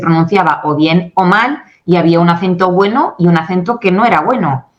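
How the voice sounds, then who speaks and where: At a moderate pace, a woman speaks in a medium pitch with an animated tone. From Spain. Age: 40s. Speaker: English communication coach and company founder. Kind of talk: interview.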